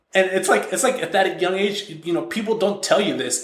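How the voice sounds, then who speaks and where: With audible room echo, a man talks at a fairly quick pace in a high pitch. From Mexico. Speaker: software entrepreneur. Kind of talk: podcast interview. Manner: many false starts and repetitions.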